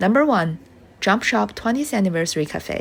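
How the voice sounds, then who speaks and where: With a non-native accent, this speaker talks at a moderate pace, the pitch swinging very widely. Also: woman. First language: not English. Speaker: travel vlogger. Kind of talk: scripted voiceover narration.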